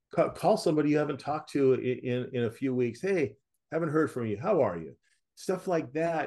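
In a quiet background, a man speaks with ordinary pitch variation. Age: 60s. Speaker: author, former police officer. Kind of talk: interview testimony. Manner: halting, with repetitions and fillers.

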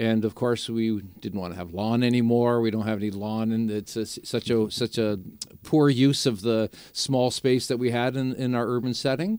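A man with a Canadian accent and an unremarkable speaking voice, medium pitch, fairly even intonation and a moderate pace. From Niagara region, Ontario, Canada. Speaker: native plant grower. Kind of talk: radio interview.

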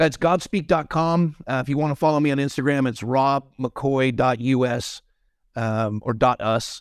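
Ordinary pitch variation in a man's voice, captured on a very clean recording against a silent background. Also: medium pitch for a man. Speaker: pastor. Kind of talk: angry rant, preaching-style tirade against government tyranny. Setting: podcast interview. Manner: indignant, forceful, impassioned, rapid-fire accusatory delivery.

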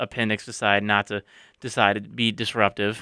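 A man's fairly low voice with a bright, sharp tone at a fairly quick pace, dry and close with no echo, on a very clean recording with a silent background. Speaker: college radio host. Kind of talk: radio DJ patter, breezy sign-off and banter. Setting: campus radio studio. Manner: upbeat, chatty, energetic.

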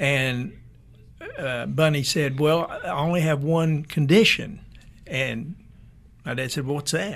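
Pausing long and often, a man speaks at a very slow pace with a fairly high pitch and ordinary pitch variation. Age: 70s. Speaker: restaurant owner. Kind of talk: interview.

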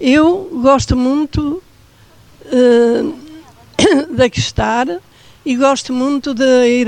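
Speech comes at a very slow pace with ordinary pitch variation, and noticeable background noise runs underneath. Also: woman. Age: 90. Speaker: elderly care-centre resident. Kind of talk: casual chat. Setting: outdoors.

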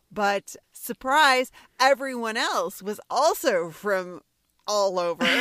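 Very slowly, a woman speaks with lively intonation at a fairly high pitch, the sound dry and close with no echo. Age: 30s. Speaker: podcast host. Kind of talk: casual chat. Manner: animated.

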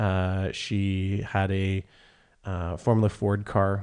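A man speaks with a Canadian accent at a fairly low pitch. His tone is dark and mellow against a quiet background. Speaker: podcast host. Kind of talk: casual interview. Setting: in person studio. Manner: conversational, friendly.

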